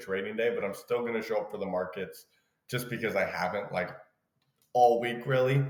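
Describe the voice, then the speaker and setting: A man's medium-pitched voice comes across with audible room echo. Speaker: day trader. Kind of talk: live trading commentary. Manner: casual, filler-heavy.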